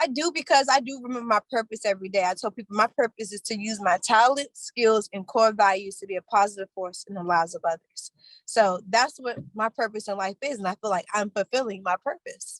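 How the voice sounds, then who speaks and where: With an American accent, a woman talks at a fairly quick pace in an ordinary speaking voice, fairly high in pitch with ordinary pitch variation, big swings in loudness and hardly any pauses, in a dry, close sound with no echo. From Washington DC. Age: 20s. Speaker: credit repair educator and barber. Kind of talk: casual interview.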